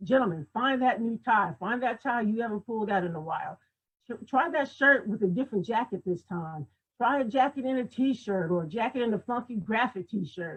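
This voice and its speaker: A somewhat breathy woman with a fairly high pitch, lively intonation and a moderate pace. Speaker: image consultant and personal stylist. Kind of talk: talk on a livestream. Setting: video call. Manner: animated.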